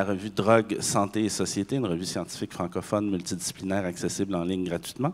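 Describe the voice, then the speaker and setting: With a Quebec accent, a man speaks at a fairly quick pace and fairly low pitch, with fairly even intonation and hardly any pauses. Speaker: university professor. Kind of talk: conference panel talk.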